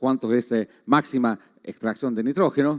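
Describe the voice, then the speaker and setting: Dry and close, with no echo, the man's voice is heard. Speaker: agronomy researcher. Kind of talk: conference talk. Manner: fast; halting.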